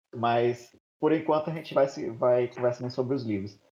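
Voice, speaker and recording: A man with a dark, mellow tone sounds somewhat breathy, his intonation fairly even. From Maranhão, Brazil. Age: 30s. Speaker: podcast host. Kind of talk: casual group discussion.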